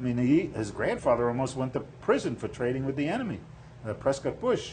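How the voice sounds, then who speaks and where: Somewhat breathy, a man with a fairly high pitch talks at a fairly quick pace with lively intonation. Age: 70s. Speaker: political candidate. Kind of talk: interview. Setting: studio.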